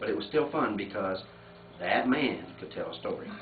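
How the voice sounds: Lively intonation from a man with a fairly low pitch, at a moderate pace, with audible room echo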